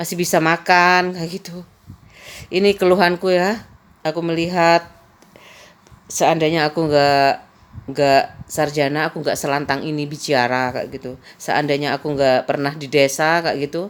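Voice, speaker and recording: In a Madurese accent, a woman with a very deep, low voice talks at a moderate pace with fairly even intonation and big swings in loudness. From Madura, Indonesia. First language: Madurese (speaking Indonesian). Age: 50s. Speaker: vlogger. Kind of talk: casual personal storytelling.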